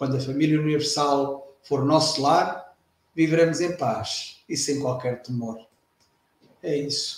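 At a fairly slow pace, a man speaks in a fairly high voice. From Portugal. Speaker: retired air force veteran. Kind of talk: casual chat. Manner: halting.

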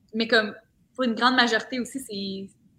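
A woman speaks with a Quebec accent in a bright, sharp tone. Her intonation is fairly even. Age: 20s. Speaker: social media content creator. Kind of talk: casual chat.

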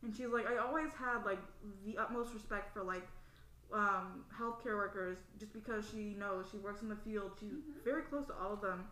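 A woman talks at a moderate pace in a fairly high pitch, with ordinary pitch variation. Noticeable background noise runs under her voice. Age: 20s. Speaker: youth program participant. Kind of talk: casual chat. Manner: animated.

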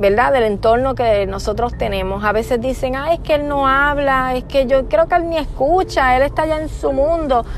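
A woman with a Puerto Rican accent speaks at a high pitch with ordinary pitch variation, at a moderate pace with hardly any pauses. Audible room echo and noticeable background noise are present. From Puerto Rico. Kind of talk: personal testimony monologue.

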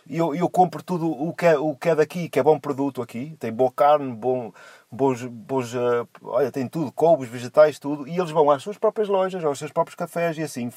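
A man's fairly high voice at a moderate pace, with ordinary pitch variation and a dry, close sound with no echo. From Portugal, São João da Madeira. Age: 40s. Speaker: truck driver. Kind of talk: casual chat. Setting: Skype call from a parked car. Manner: halting, repeats words.

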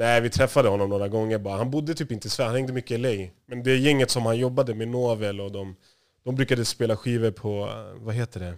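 Speaking at a very fast pace, a man at medium pitch keeps his intonation fairly even. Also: very clean recording, silent background. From Stockholm area, Sweden (Järfälla). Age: 30s. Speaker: music industry manager. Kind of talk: interview.

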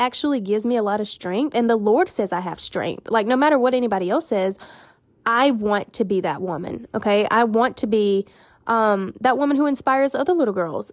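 A woman with a fairly high voice talks at a fairly quick clip, her intonation lively and her tone animated, on a very clean recording with a silent background. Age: 20s. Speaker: podcast host. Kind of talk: casual monologue with faith reflections.

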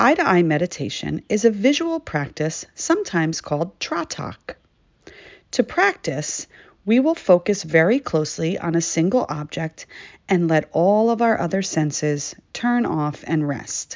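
A woman with an unremarkable speaking voice talks at a fairly slow pace. Her pitch is fairly low and her intonation lively. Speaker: meditation host. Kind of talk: guided meditation. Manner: calm, slow, soothing instruction with pauses.

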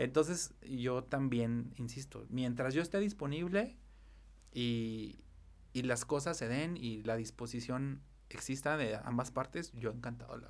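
A man speaks in a normal speaking voice at a medium pitch. His pace is fairly slow, with ordinary pitch variation. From Mexico, Zacatecas. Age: 30s. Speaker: event planner. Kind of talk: casual interview chat.

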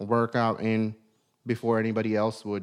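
The pitch sits in the medium range. It belongs to a man. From outside the US, immigrant. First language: not English. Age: 30s. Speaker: podcast host, entrepreneur. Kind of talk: casual motivational talk. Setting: studio. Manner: hesitant, many fillers.

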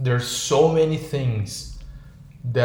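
A man with a Brazilian accent talks at a medium pitch against noticeable background noise. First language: Portuguese. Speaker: podcast co-host. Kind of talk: casual chat. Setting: video call. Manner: animated.

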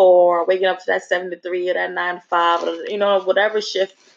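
Someone talks at a fairly quick pace with a New Jersey accent. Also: woman. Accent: New Jersey urban American English. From North New Jersey. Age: 20s. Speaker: podcast host. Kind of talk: casual monologue.

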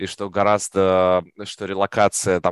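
A man with a plain, everyday voice speaks at a fairly low pitch with fairly even intonation, the sound dry and close with no echo over a quiet background. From Russia. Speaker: product manager. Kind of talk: podcast interview.

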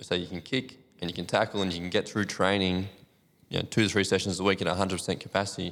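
With an Australian accent, a man speaks very fast in a very deep, low pitch and monotone, flat intonation. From country New South Wales, Australia. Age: 30s. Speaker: physiotherapist. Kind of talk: casual podcast interview.

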